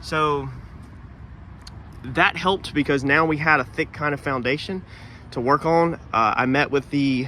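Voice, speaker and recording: A man's fairly high-pitched voice with a bright, sharp tone. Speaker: auto body painter. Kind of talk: casual video walkthrough. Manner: stuttering this morning; hesitant, many fillers.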